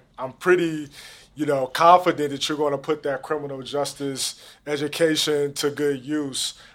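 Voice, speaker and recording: This man speaks with an American accent at a moderate pace. His pitch is fairly high. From St. Louis, Missouri (Jennings). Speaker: podcast host. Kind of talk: interview. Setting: studio.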